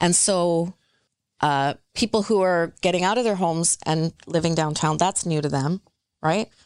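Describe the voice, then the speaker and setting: A woman with a Canadian accent uses a normal speaking voice, ordinary pitch variation, a moderate pace and very even loudness, recorded with a dry, close sound with no echo over a quiet background. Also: fairly low pitch for a woman. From Metro Vancouver, Canada. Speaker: real estate consultant. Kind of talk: casual chat.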